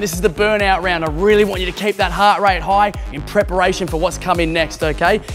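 A man's high-pitched voice at a fairly quick pace, fairly even in intonation, with clear music in the background. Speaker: fitness instructor. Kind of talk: workout instruction, coaching. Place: gym.

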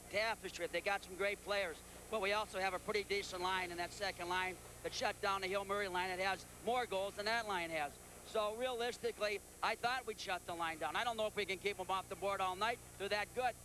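A man's raised, projected voice at a high pitch, bright and sharp in tone, with fairly even intonation and a very fast pace, in a dry sound without echo and light background noise. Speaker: hockey coach. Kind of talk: casual coach interview. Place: stadium.

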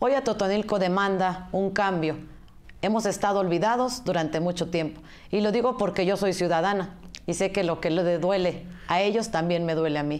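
A woman's medium-pitched, normal speaking voice at a moderate pace, with ordinary pitch variation and very even loudness. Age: 40s. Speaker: political candidate. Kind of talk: campaign interview.

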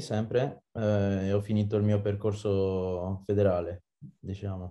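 A dark, mellow tone at a very slow pace. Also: man. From Geneva, Switzerland. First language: French (speaking Italian). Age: 20s. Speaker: rugby player; guest. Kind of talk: interview. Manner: halting. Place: home room. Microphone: video call.

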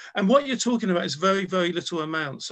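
A man's raised, projected voice at a high pitch. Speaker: travel writer and website founder. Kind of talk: interview conversation. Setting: video call.

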